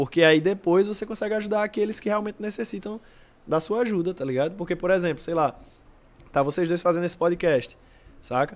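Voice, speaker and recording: A man's high-pitched voice at a fairly quick pace, with ordinary pitch variation and long, frequent pauses. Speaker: breakdancer. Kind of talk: casual chat. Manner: fast.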